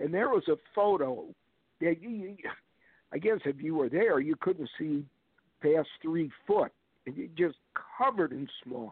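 Long pauses come often in this fairly slow delivery. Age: 60s. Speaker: paranormal researcher and guest. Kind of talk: casual chat.

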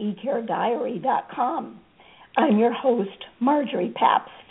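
The speaker uses lively intonation at a moderate pace, against noticeable background noise. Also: woman. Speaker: podcast host. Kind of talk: interview.

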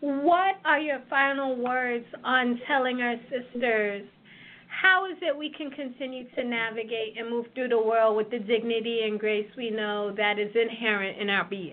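Speaking at a fairly slow pace, a woman with a plain, everyday voice sits at a fairly high pitch with ordinary pitch variation. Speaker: radio co-host.

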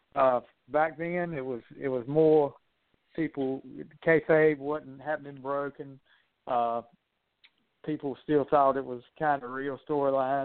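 A man with an American accent speaks at a fairly slow pace with long, frequent pauses. His fairly high voice stays monotone and flat. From US South. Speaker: wrestling analyst. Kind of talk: casual chat.

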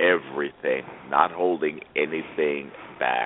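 Background noise is noticeable. Through it, a man talks. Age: 60s. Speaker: radio host and business coach. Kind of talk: radio interview. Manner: animated.

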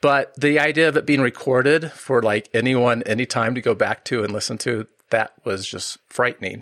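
A medium-pitched man talks at a moderate pace with ordinary pitch variation and hardly any pauses, the sound dry and close with no echo in a very clean recording with a silent background. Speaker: podcast host and product management trainer. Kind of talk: casual interview conversation.

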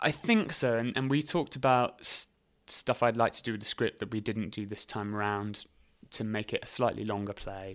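Recorded very cleanly over a silent background, a man with a southern English accent speaks at a medium pitch and a moderate pace. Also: ordinary pitch variation. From southern England, Reading and High Wycombe area. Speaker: actor, writer and theatre company founder. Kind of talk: casual interview chat.

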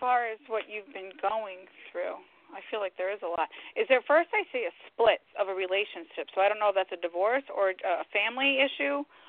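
A woman with a normal speaking voice at a fairly high pitch, moderate in pace, with ordinary pitch variation. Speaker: psychic medium. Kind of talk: interview and live readings for callers. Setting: phone call.

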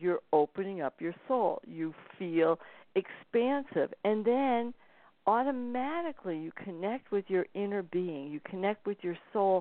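Using an ordinary speaking voice, a woman talks at medium pitch and a fairly slow pace with lively intonation. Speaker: spiritual author and intuitive reader. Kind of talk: interview conversation.

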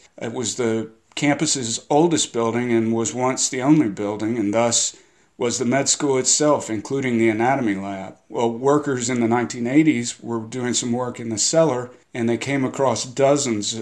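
Fairly even intonation marks a plain, everyday voice moving at a moderate tempo. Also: man, medium pitch for a man. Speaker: novelist. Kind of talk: guest intro about history.

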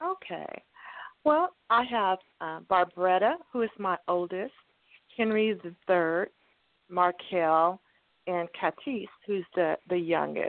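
A woman speaks at a very slow pace with long, frequent pauses. Her pitch is medium, with ordinary pitch variation. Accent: American. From Texas (Cameron). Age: 60s. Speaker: guest family member. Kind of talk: phone interview, family stories. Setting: phone call.

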